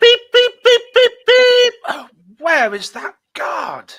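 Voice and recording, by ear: In a put-on character voice with an extremely high pitch, the words come out at a very slow pace.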